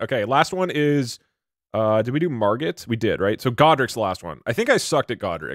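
Fairly quickly, a man talks with very wide pitch swings. The background is quiet and the sound is dry with no echo. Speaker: streamer. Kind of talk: casual live stream chat. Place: home room. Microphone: studio mic.

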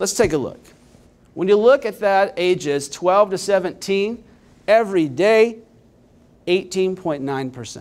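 Speaking very slowly, a man with a Midwestern American accent leaves long, frequent pauses. His pitch is high and his intonation lively. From Indiana, Richmond; Indiana. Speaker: nonprofit data executive. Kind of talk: conference presentation. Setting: stage with audience. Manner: energetic. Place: hall. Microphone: handheld.

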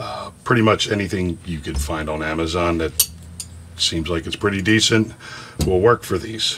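A man talks fairly slowly, his pitch moving in an ordinary way, with light noise in the background. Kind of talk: tutorial. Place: workshop.

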